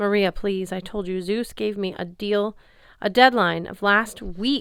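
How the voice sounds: With ordinary pitch variation, the passage is delivered in a natural reading voice.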